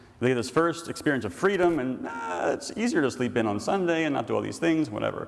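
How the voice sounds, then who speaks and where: Very fast speech in an American accent, with very wide pitch swings. Noticeable background noise and audible room echo surround the voice. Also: man, medium pitch for a man. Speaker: priest. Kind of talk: lecture. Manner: animated.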